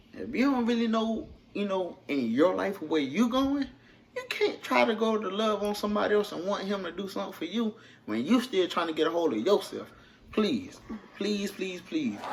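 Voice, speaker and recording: A man speaks in a strong Southern US accent, his pitch high. His intonation is lively and his pace moderate. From South Carolina. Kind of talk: casual couples talk to camera.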